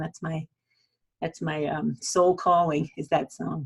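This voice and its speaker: A woman speaks at a moderate pace with a New England accent. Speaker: self-help video host. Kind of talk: motivational talk to camera. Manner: casual, conversational.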